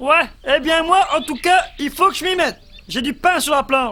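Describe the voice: A cartoonish character voice speaks at a high pitch. The pace is moderate.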